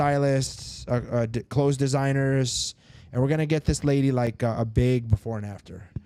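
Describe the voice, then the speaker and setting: Quick-paced and fairly even in intonation, a man talks at a medium pitch with a dark, mellow tone. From Sarasota, Florida. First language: Spanish. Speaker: dentist. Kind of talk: casual podcast chat. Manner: casual, filler-heavy.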